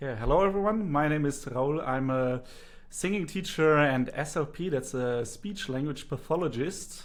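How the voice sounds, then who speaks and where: A man with a German accent, fairly high pitch, ordinary pitch variation and a moderate pace. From Germany. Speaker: singing teacher and speech therapist. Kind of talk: interview.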